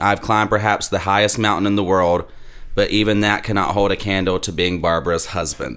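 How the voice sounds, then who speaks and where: The speaker is a man with a Southern US accent. He talks at a fairly quick pace. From US South. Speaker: former funeral worker and church musician. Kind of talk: casual chat. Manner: animated.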